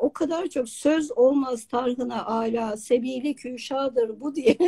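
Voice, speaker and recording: Against a quiet background, a woman speaks with a dark, mellow tone and ordinary pitch variation. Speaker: online talk show host. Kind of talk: live interview. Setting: video call. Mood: warm, enthusiastic. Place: home room. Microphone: video call.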